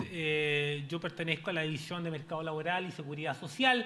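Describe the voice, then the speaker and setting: Audible room echo surrounds a man whose high pitch holds fairly even intonation. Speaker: panelist, pension specialist at development bank. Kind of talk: conference presentation. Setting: stage with audience. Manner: fast.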